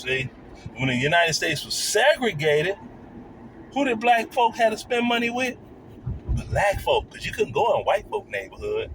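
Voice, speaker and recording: Over noticeable background noise, a man speaks in an animated tone at a moderate pace with a high pitch. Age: 60s. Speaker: YouTube commentator. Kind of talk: reaction video commentary.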